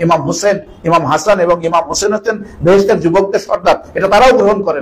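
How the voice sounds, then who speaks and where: A man's high voice at a moderate pace over noticeable background noise. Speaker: cleric providing Bengali interpretation. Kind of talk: consecutive religious interpretation of a sermon.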